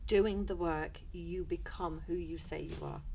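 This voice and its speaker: A woman's rather unhurried speech in a room with audible echo. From North London, then west of Ireland from age ten. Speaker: positive psychologist and former teacher. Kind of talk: podcast interview. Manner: animated, with false starts.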